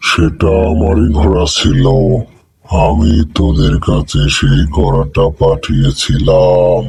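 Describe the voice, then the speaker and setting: In a cartoonish character voice, a man speaks at a very slow pace with a very deep, low pitch. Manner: eerie, gloating.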